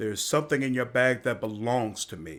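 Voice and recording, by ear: The voice reads aloud naturally, and its intonation stays fairly even.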